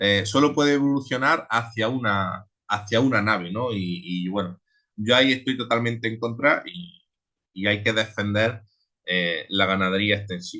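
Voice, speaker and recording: At a moderate pace and medium pitch, a man speaks in a bright, sharp tone with ordinary pitch variation against a quiet background. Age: 20s. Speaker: transhumant shepherd. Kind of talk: online seminar talk. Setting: online seminar. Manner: halting, many repetitions.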